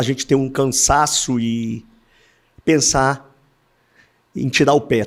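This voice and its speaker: A man talks at a very slow pace with fairly even intonation, leaving long, frequent pauses. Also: medium pitch for a man. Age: 60s. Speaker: insurance broker, company founder. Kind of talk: podcast interview.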